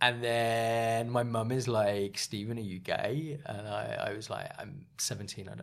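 A man with an English accent speaks at a very slow pace with hardly any pauses. Audible room echo surrounds his voice. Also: medium pitch for a man. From England, small town. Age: 30s. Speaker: podcast guest. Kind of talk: casual chat. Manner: animated.

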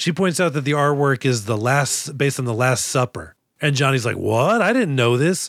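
The recording is very clean with a silent background, and the loudness stays very even. A man speaks at a moderate pace with lively intonation, a normal speaking voice and medium pitch. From Boston. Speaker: podcast host and comedian. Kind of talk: casual chat.

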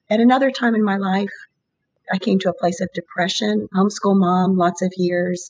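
Somewhat breathy, a woman with an American accent talks with fairly even intonation. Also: medium pitch for a woman, moderate pace, very even loudness. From US, Virginia. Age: 60s. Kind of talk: interview about faith and prayer.

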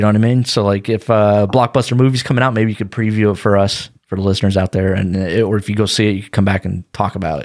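With hardly any pauses, a man talks at a very fast pace in a fairly low voice with fairly even intonation. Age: 40s. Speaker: podcast host. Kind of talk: casual chat.

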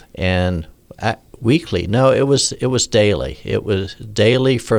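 Using a plain, everyday voice, a man talks fairly slowly, and his pitch moves in an ordinary way. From US, military family that moved around. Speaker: medical doctor. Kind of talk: interview conversation. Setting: studio.

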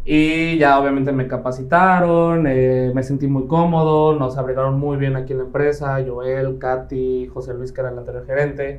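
Audible room echo surrounds a man who speaks at a moderate pace with monotone, flat intonation. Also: medium pitch for a man, hardly any pauses. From Mexico, Quintana Roo (Playa del Carmen). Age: 20s. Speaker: real estate team leader. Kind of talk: interview.

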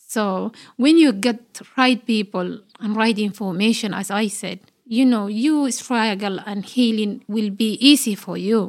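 On a very clean recording with a silent background, a woman with a Somali accent speaks at a fairly slow pace. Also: fairly high pitch for a woman, ordinary pitch variation. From Somalia. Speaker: health and wellbeing worker. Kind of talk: casual interview chat. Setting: studio. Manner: halting, non-standard grammar.

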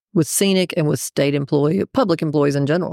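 In an American accent, a woman's very deep, low voice carries a dark, mellow tone, recorded dry and close with no echo. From Texas, raised partly in Raleigh NC. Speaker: executive director of state employees association. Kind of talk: casual interview chat.

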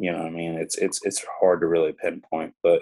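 A man speaks at a fairly quick pace in a Southern US accent. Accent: Southern US (Georgia). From US South, coastal Georgia. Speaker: music publishing executive and tour manager. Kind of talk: casual interview chat. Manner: casual, hesitant with many fillers.

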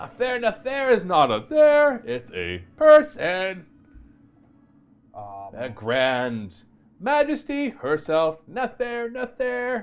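Using a put-on character voice at an extremely high pitch, a man talks at a very slow pace over a quiet background. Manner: unsettling, repetitive.

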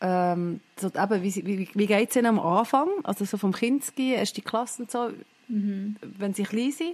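A woman with a Swiss accent, medium pitch, ordinary pitch variation and moderate pace against a quiet background. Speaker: podcast co-host. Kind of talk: casual chat. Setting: video call.

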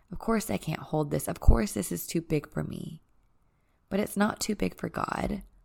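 Vocal fry and a warm tone at a moderate pace, with very wide pitch swings. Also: woman, very deep, low pitch for a woman. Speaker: podcast host and retreat leader. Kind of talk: solo podcast monologue, personal and spiritual. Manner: soft-spoken, reserved; warm, reflective.

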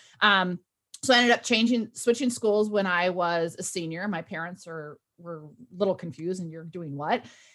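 With an ordinary speaking voice, a woman talks at a moderate pace and medium pitch, with ordinary pitch variation and big swings in loudness. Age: 40s. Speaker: author and workplace culture consultant. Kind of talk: interview conversation.

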